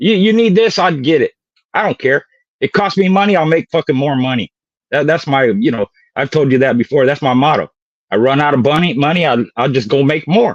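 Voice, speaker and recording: In a normal speaking voice, a man with a fairly high pitch talks at a fairly quick pace with lively intonation and very even loudness, the sound dry and close with no echo. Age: 60s. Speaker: dog breeder. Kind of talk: casual chat. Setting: live stream.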